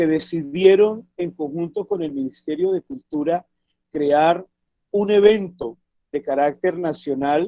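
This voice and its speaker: Dry and close with no echo, a man speaks very slowly in a dark, mellow tone, high in pitch with ordinary variation. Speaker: traditional cook and cultural activist. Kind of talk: talk in online discussion.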